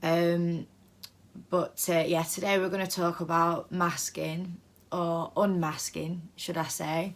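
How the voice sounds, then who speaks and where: A woman with a British accent speaks at a very slow pace in a fairly low, monotone, flat voice. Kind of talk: casual vlog monologue. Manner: hesitant, many fillers.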